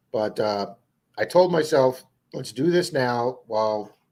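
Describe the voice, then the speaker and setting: A man with an American accent, in a very clean recording with a silent background. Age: 60s. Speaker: metal detecting youtuber, live stream host. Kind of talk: casual live stream chat. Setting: live stream.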